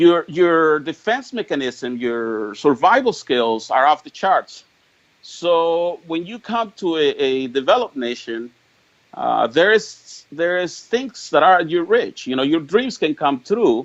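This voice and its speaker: With a Spanish accent, a man talks at a fairly slow pace. His high voice swings very widely in pitch. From Mexico, rural Jalisco. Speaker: political activist. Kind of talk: interview. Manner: halting, many repetitions and stammers.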